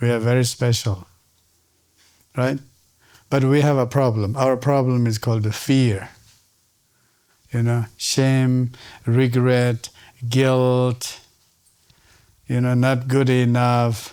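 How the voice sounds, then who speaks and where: In a Tibetan accent, the speaker talks at a very slow pace with long, frequent pauses, a dark, mellow tone, very even loudness and monotone, flat intonation. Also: man, medium pitch for a man. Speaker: Tibetan medicine teacher. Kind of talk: lecture. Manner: interactive, questioning audience.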